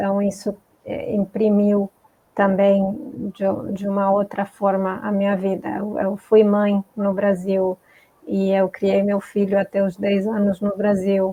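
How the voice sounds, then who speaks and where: This woman's words come very slowly, in a flat, monotone delivery. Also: medium pitch for a woman. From Argentina. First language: Spanish (speaking Portuguese). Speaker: multicultural coach. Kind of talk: interview on live stream.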